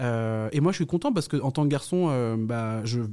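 A man's dark, mellow tone with lively intonation at a fairly quick pace. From France, Yvelines and countryside. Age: young. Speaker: knitting influencer and TV presenter. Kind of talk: interview. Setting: hotel. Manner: hesitant, many fillers.

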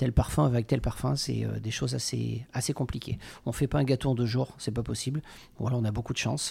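A man speaks at a medium pitch with a dark, mellow tone that is somewhat breathy. His pitch moves in an ordinary way. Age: 40s. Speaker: pastry chef. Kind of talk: interview.

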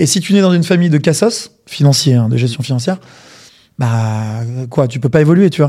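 This man has a dark, mellow tone. His intonation is lively and his pace fairly quick. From provincial France. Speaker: podcast co-host. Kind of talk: interview.

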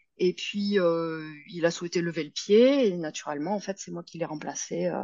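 A woman with an unremarkable speaking voice, fairly low pitch, ordinary pitch variation and a fairly slow pace. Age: 40s. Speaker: yoga teacher. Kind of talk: interview.

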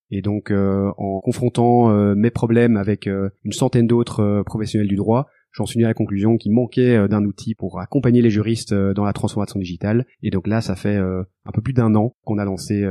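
Over a quiet background, a man with a fairly low pitch speaks at a moderate pace in a dark, mellow tone with monotone, flat intonation. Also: dry, close sound with no echo. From Brussels, Belgium. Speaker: legal tech entrepreneur, former lawyer. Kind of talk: interview.

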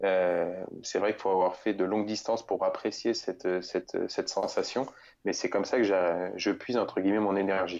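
Speaking at a moderate pace, a man holds a monotone, flat intonation at a fairly low pitch. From central France, near Bourges. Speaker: adventurer. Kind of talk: interview.

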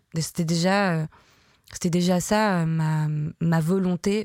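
Fairly even intonation from a woman pitched fairly low. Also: dry, close sound with no echo. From southern France, near Marseille. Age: 30s. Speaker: photographer. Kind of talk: interview monologue, personal storytelling. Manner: hesitant, many fillers.

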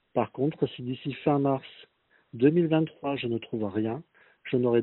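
Medium-pitched male speech with ordinary pitch variation. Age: 50s. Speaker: laid-off job seeker. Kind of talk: recorded testimony.

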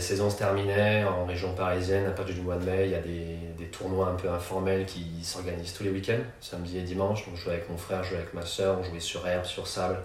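With noticeable background noise and audible room echo, a man speaks at a moderate pace in a very deep, low, monotone voice with flat intonation and hardly any pauses. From Paris region, France. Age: 30s. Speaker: former volleyball player and entrepreneur. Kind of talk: casual interview. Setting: in person.

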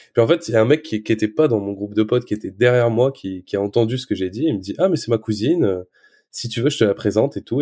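A man's medium-pitched, dark, mellow voice at a very fast pace, with ordinary pitch variation and a quiet background. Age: 20s. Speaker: social media creator and father. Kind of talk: casual interview. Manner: halting, repeats words.

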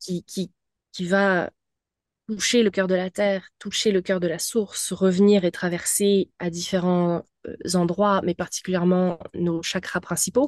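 In a dry, close sound with no echo, a woman speaks at a fairly slow pace with a medium pitch and monotone, flat intonation. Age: 30s. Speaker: spiritual mentor. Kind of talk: casual interview, personal testimony.

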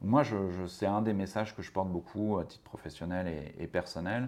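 With a very deep, low pitch, a man talks at a moderate pace with ordinary pitch variation. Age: 40s. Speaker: spokesperson for a social-sector organisation. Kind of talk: interview. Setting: organisation's offices. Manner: halting, many repetitions and fillers.

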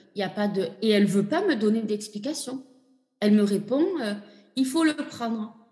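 A woman speaks at a moderate pace with a fairly high pitch and ordinary pitch variation. Long pauses come often. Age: 40s. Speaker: patient sharing her fertility journey. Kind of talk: testimony. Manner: halting.

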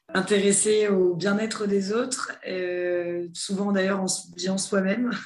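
Fairly even intonation is heard against audible room echo. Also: woman. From southern France (near Toulon). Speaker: head of human resources. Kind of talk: interview.

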